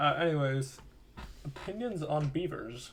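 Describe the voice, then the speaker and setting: This is a man talking. His pitch rises and falls in an ordinary way. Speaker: podcast host. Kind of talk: casual chat.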